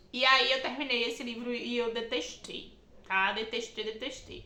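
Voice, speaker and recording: In an animated tone, a woman with a high pitch talks at a fairly slow pace. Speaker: book YouTuber. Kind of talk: casual vlog monologue.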